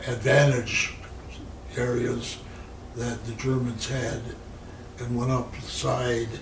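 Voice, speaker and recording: With an American accent, a man talks at a very slow pace and medium pitch, his intonation monotone and flat, broken by long, frequent pauses over noticeable background noise. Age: 80s+. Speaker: war veteran. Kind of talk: interview answer.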